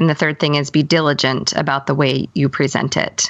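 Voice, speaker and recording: At a fairly quick pace, a woman talks in a very deep, low voice. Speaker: podcast co-host and singer. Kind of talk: casual interview chat.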